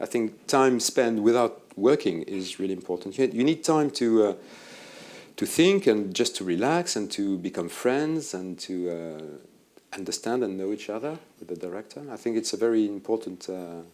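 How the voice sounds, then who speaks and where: In a French accent, a man speaks at a moderate pace and a fairly low pitch, with lively intonation and big swings in loudness. The recording is very clean, with a silent background. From France. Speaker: film editor. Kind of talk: interview on stage. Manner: hesitant.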